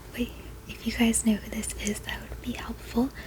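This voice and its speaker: Noticeable background noise surrounds a woman who is soft-spoken. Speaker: ASMR creator. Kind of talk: casual ASMR rambling about a collection.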